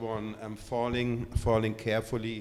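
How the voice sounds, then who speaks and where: A man with a German accent at a medium pitch and moderate pace. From Germany. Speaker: curator. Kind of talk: public artist talk. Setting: gallery event with audience. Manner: hesitant, many fillers.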